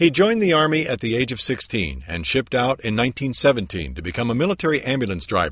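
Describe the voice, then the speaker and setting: Talking at a very fast pace, a man at medium pitch makes very wide pitch swings, with vocal fry in his voice. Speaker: TV news reporter. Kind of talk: TV news report narration.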